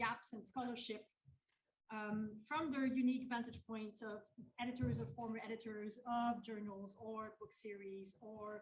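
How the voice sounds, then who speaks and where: A woman speaks at a fairly high pitch and a fairly slow pace. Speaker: panel chair. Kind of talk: panel introduction. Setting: conference hall with audience. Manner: loud; hesitant, many fillers.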